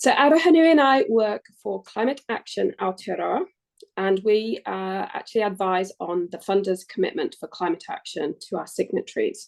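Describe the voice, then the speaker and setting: A woman at a moderate pace with an English accent. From England. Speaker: climate action adviser. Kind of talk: workshop presentation. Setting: webinar.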